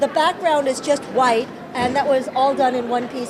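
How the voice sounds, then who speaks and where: A New York accent at a moderate pace, with audible room echo and crowd noise in the background. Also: woman. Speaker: crochet and knitting designer. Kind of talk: casual interview. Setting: outdoors at a baseball stadium.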